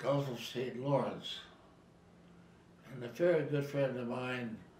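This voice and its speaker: With a Canadian accent, a man speaks very slowly in a monotone, flat intonation, with big swings in loudness over noticeable background noise. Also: medium pitch for a man. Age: 80s+. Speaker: war veteran. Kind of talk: interview answer.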